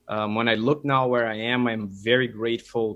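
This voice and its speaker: In a Brazilian Portuguese accent, a man speaks at medium pitch and a fairly quick pace, with fairly even intonation. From Brazil, São Paulo. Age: 30s. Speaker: dentist and materials scientist. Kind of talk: casual interview. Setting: video call.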